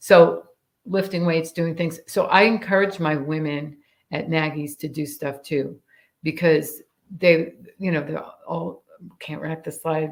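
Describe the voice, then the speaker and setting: A woman with an American accent speaks at a fairly slow pace in a very deep, low pitch, with vocal fry, fairly even intonation and long, frequent pauses. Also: big swings in loudness. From New York (Staten Island, upstate). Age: 60s. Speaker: firearms instructor. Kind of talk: casual interview chat.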